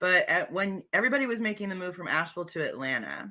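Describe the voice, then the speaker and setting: The voice has a bright, sharp tone, an American accent and very wide pitch swings. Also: woman, quiet background. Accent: Northern US with slight Southern twang. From New Jersey. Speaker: comedian. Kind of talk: casual chat.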